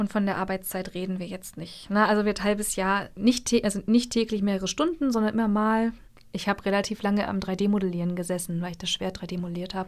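A woman talks at a fairly quick pace with fairly even intonation and a medium pitch, in an ordinary speaking voice. The recording is very clean, with a silent background. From Mecklenburg, northern Germany. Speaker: cosplayer. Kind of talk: casual interview. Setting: radio studio.

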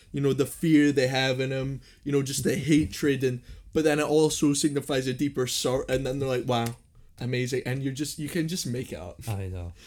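With a plain, everyday voice, this man speaks fairly quickly at a medium pitch that rises and falls in an ordinary way. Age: 20s. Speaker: podcast host. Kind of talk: casual chat.

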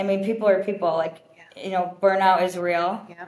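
A moderate pace with monotone, flat intonation. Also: woman. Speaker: wedding planner. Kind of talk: casual chat.

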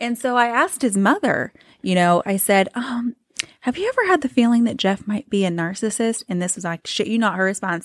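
With lively intonation and a fairly high pitch, a woman talks at a fairly quick pace in an ordinary speaking voice, the sound dry and close with no echo. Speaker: podcast co-host. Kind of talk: casual chat.

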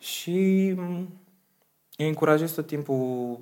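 A man's voice with ordinary pitch variation. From Romania, Slobozia (Ialomița). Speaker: singer and vocal coach. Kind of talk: interview.

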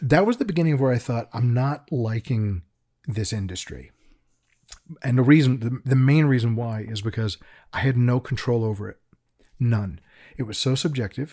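A man speaks in a dark, mellow tone that is somewhat breathy. Long pauses come frequently. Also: medium pitch for a man, ordinary pitch variation, moderate pace, very clean recording, silent background. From England, raised in Chicago. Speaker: creature designer. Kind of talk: casual interview. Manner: self-deprecating, humorous.

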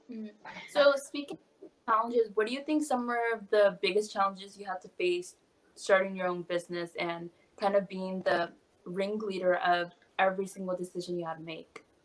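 A woman talks at a fairly quick pace at medium pitch, with ordinary pitch variation and big swings in loudness. She has an unremarkable speaking voice. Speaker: podcast host. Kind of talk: casual interview chat.

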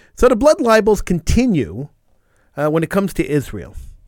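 Swinging very widely in pitch, a man speaks at a fairly quick pace in a dry, close sound with no echo. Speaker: radio host. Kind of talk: live talk radio show. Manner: opinionated.

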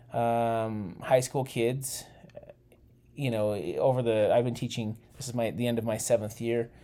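At a fairly slow pace, a man talks with an American accent and medium pitch. His is a normal speaking voice. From Utah. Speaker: junior high teacher. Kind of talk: casual chat.

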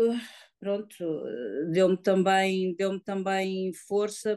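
A woman's monotone, flat delivery at a medium pitch, in a dry, close sound with no echo. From Lisbon district, Portugal. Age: 50s. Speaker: woman living with HIV, association member. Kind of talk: personal testimony. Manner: halting, hesitant.

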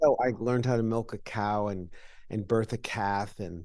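A man talks with an ordinary speaking voice at a fairly slow pace. His pitch is fairly low. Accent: American. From upstate New York, Washington County. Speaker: real estate executive. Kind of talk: interview.

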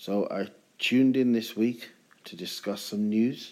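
A man talks in a relaxed tone with fairly even intonation. His voice is dark and mellow. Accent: British. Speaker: podcast host. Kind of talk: solo casual monologue podcast. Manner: relaxed, chilled.

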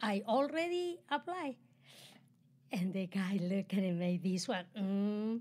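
The voice has a dark, mellow tone, is somewhat breathy, and speaks with a Spanish accent. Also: woman. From Chile. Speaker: host's mother, immigrant entrepreneur. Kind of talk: casual chat.

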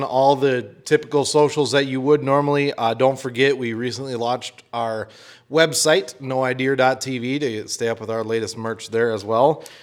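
A man speaks at medium pitch and a moderate pace. His is an unremarkable speaking voice with fairly even intonation. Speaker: podcast co-host. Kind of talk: casual chat.

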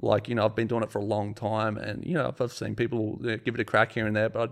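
Over a quiet background, a speaker with an Australian accent talks at a very fast pace with vocal fry. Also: man. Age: 30s. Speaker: sculptor and business owner. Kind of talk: casual chat. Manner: animated.

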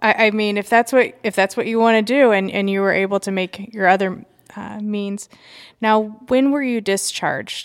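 In a very clean recording with a silent background, a woman talks at a moderate pace in an ordinary speaking voice. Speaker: podcast host. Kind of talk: interview. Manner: casual, conversational.

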